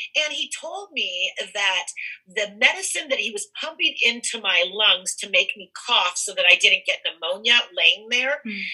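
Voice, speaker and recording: A woman at a fairly high pitch and moderate pace, lively in intonation, with big swings in loudness and noticeable background noise. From California. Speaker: cannabis entrepreneur. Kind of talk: interview.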